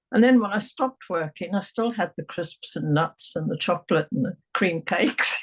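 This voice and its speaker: In an English accent, a woman of medium pitch speaks at a moderate pace with lively intonation and hardly any pauses. Her voice is somewhat breathy, and the sound is dry and close with no echo. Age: 70s. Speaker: hypnotherapy client. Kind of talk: testimonial interview.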